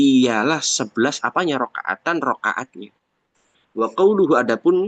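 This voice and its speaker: A man speaks with very wide swings in pitch. The sound is dry and close, without echo. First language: Javanese (speaking Indonesian). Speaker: Islamic religious teacher. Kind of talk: religious text lecture. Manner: halting, with self-corrections.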